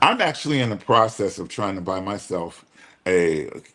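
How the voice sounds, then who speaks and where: Using a normal speaking voice, a man with a fairly low pitch talks at a moderate pace. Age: 60s. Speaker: guest on women's empowerment webinar. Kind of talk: casual chat.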